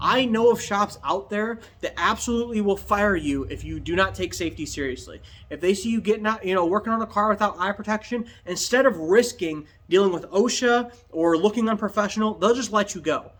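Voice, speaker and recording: A man talks loudly at a fairly quick pace. His pitch is high, with ordinary pitch variation. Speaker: DIY restoration youtuber and upholstery shop owner. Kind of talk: tutorial. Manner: casual, ranting.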